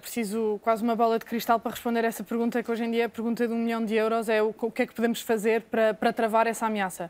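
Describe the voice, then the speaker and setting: In a very clean recording with a silent background, a woman with a fairly high voice speaks at a very fast pace with hardly any pauses. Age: 30s. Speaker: lawyer. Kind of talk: TV debate. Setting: TV studio.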